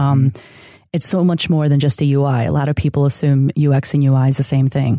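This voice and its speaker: A woman speaks at a fairly quick pace in a very deep, low voice with a dark, mellow tone. Her intonation is fairly even and her loudness very even. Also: very clean recording, silent background. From Chicago area, Mexican-American community. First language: Spanish. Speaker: UX designer. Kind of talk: interview.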